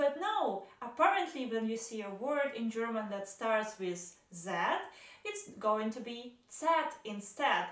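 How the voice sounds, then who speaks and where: Through noticeable background noise and audible room echo, a woman with a Russian accent speaks at a very slow pace in a high voice that makes very wide pitch swings. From Belarus. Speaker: vlogger. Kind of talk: casual vlog monologue.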